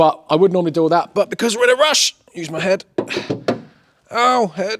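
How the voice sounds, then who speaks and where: Speaking with an English accent, a man talks at a fairly quick pace with a high pitch and lively intonation. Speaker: car repair youtuber. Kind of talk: casual vlog tutorial. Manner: fast.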